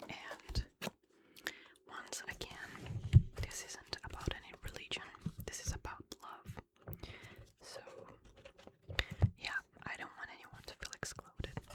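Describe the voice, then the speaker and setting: Whispering at a very slow pace with long, frequent pauses, against noticeable background noise. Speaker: ASMR creator. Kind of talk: ASMR whispered reading.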